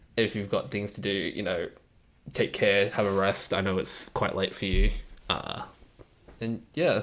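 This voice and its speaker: Soft-spoken and lively in intonation, a man talks at a moderate pace with long, frequent pauses. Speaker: streamer. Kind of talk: live coding stream. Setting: home computer setup, live stream.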